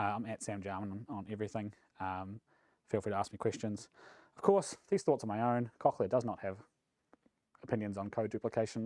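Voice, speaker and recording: Fairly low male voice in a New Zealand accent, dry and close with no echo, on a very clean recording with a silent background. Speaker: software engineering manager. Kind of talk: conference talk. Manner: fast; mumbly.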